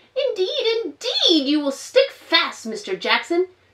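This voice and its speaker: A woman puts on a character voice at an extremely high pitch, swinging very widely in pitch at a fairly slow pace. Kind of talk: children's storytime read-aloud. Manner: prim, scolding, cross.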